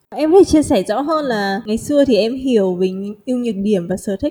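A woman speaks very fast in a fairly high, somewhat breathy voice with a dark, mellow tone. Her intonation is lively. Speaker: podcast host. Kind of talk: show intro and outro; interview about job hunting abroad.

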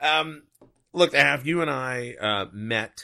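Vocal fry runs through a man's medium-pitched voice. His pitch swings very widely. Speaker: podcast host. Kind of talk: casual chat. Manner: chatty, laughing.

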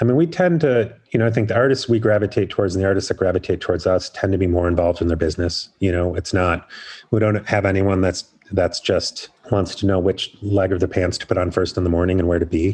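Very fast and somewhat breathy, a man speaks at a very deep, low pitch. His pitch varies in an ordinary way. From US Midwest, Chicago area. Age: 40s. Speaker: artist manager. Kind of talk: interview.

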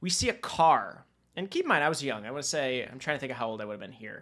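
A man with a plain, everyday voice speaks fairly quickly in a fairly high pitch with lively intonation on a very clean recording with a silent background. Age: 30s. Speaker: podcast host. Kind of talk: casual chat.

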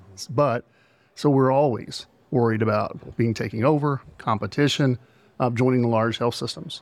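A man with a Texan accent, medium in pitch with ordinary pitch variation, at a fairly quick pace, on a very clean recording with a silent background. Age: 50s. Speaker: hospital CEO. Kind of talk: interview. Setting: conference.

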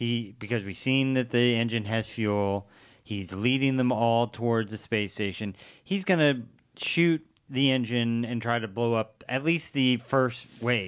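A man's medium-pitched voice moves at a fairly slow pace, its pitch varying in an ordinary way. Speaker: podcast co-host. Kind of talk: casual chat.

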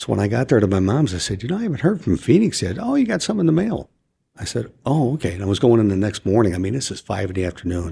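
Very fast and somewhat breathy, a man with an American accent speaks in a medium pitch with a dark, mellow tone and very wide pitch swings on a very clean recording with a silent background. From US Midwest (Chicago). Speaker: retired homicide detective and podcaster. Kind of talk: interview. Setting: studio.

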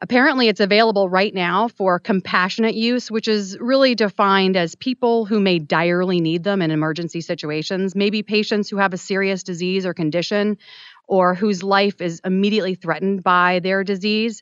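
A woman talks at a fairly quick pace with ordinary pitch variation and a medium pitch. Hers is an unremarkable speaking voice. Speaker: substitute radio host. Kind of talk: radio call-in advice show. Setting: radio studio.

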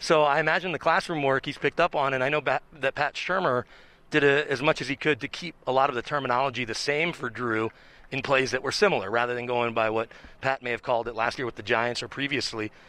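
A man with an American accent talks very fast in a bright, sharp tone, the sound dry and close with no echo. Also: medium pitch for a man, ordinary pitch variation. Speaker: sports reporter. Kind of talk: casual sports interview.

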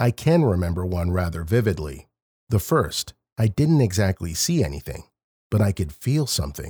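Fairly low in pitch, a man speaks with a dark, mellow tone that is somewhat breathy, and his pitch moves in very wide swings. The very clean recording has a silent background and a dry, close sound with no echo. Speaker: narrator of listener-submitted stories. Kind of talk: ghost story narration.

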